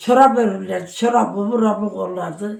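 A woman's fairly slow speech with vocal fry and ordinary pitch variation. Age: 80s+. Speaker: elderly villager. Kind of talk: casual interview chat.

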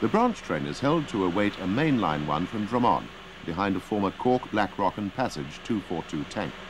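A man speaks at a fairly low pitch and moderate pace, with very wide pitch swings. Noticeable background noise is present. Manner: formal, measured, matter-of-fact; clipped, dry, informative newsreel-style delivery.

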